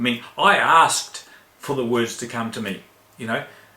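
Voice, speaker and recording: A man speaks at a moderate pace. Noticeable background noise and audible room echo surround him. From New Zealand. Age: 60s. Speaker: spiritual teacher. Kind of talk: spiritual talk in online chat room. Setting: online voice chat room.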